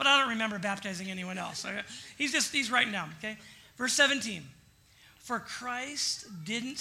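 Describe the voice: Someone reads aloud in a plain way.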